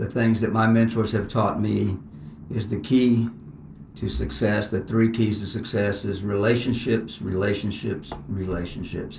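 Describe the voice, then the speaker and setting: A man with an American accent at a fairly low pitch, fairly even intonation and a moderate pace, with audible room echo. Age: 60s. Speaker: martial arts instructor. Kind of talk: interview.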